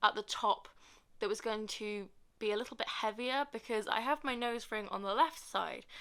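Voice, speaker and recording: A woman speaks in a British accent with a fairly high pitch. Her tone is bright and sharp, and her pitch varies in an ordinary way. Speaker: vlogger. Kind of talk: casual vlog talk to camera. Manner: fast; hesitant, many fillers.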